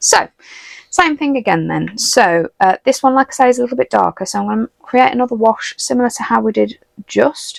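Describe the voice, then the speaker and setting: This speaker has a British accent. The pace is fairly quick. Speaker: watercolour art teacher. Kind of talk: tutorial. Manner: fast.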